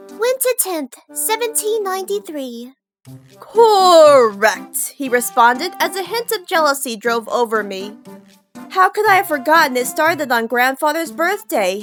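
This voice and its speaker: Music plays in the background as a woman speaks at a fairly slow pace. Her pitch is high, with very wide swings. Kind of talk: audiobook-style story narration.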